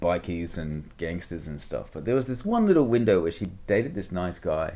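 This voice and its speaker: This man speaks with a New Zealand accent in a dark, mellow tone. His pace is moderate. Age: 40s. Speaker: money management coach. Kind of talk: interview. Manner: casual.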